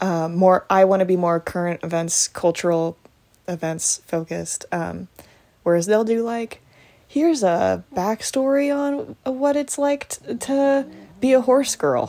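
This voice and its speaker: On a very clean recording with a silent background, a woman with an American accent speaks at a fairly slow pace in a dark, mellow, medium-pitched voice with very wide pitch swings. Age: 20s. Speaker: podcaster and YouTuber. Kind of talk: casual solo monologue. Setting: home recording at night. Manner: soft-spoken.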